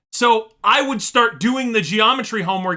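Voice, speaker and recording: A man projects his raised voice at a moderate pace. His pitch is high, and his tone is bright and sharp. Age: adult. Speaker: YouTube reaction streamer. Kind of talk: casual reaction commentary.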